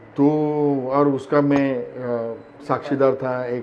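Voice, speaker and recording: A man speaks at medium pitch with fairly even intonation. The room echo is audible. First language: Marathi (speaking Hindi). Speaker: actor. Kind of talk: interview. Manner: hesitant, many fillers.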